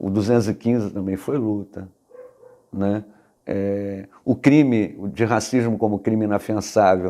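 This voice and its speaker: At a very slow pace, a man speaks with a dark, mellow tone and a fairly low pitch. His intonation is fairly even, broken by long, frequent pauses. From Brazil, Niterói, Rio de Janeiro. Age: 50s. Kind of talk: interview testimony. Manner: halting, with frequent fillers.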